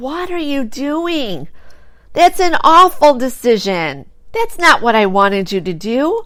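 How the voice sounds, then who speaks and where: Using a put-on character voice, the speaker talks at a fairly slow pace with a high pitch and very wide pitch swings. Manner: disapproving, scolding.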